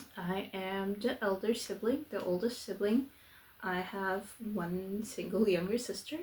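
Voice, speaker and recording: A somewhat breathy woman speaks at a fairly slow pace, her medium pitch varying in an ordinary way. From southern Portugal. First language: Portuguese. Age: 20s. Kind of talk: casual vlog introduction. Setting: home, filming away from her desk. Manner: casual, with fillers and false starts.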